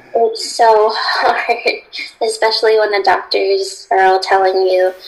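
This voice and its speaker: A woman with an American accent and a fairly high pitch speaks over noticeable background noise. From Connecticut, US. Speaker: holistic lifestyle coach. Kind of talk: interview. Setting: video call.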